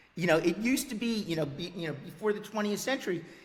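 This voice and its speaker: Noticeable background noise runs under a man's voice. His pitch is high, with ordinary variation. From US Northeast, New York City. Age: 60s. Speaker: history professor. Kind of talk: interview. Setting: video podcast. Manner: halting, repeats words.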